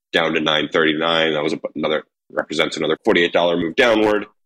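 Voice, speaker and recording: This man's voice is very deep and low. He talks fairly quickly with fairly even intonation. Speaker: steel market analyst. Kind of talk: casual chat.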